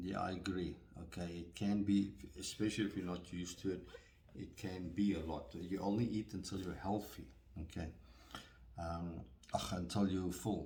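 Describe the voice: With audible room echo, a man speaks at a moderate pace and low pitch, his tone dark and mellow and his intonation fairly even.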